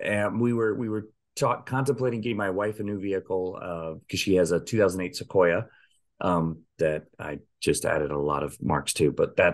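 Over a quiet background, a man talks at a moderate pace in an unremarkable speaking voice. His pitch is fairly low, with ordinary pitch variation. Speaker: podcast host. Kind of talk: casual podcast chat. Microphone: video call.

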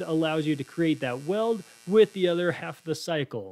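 With lively intonation and a high pitch, a man speaks at a moderate pace. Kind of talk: tutorial.

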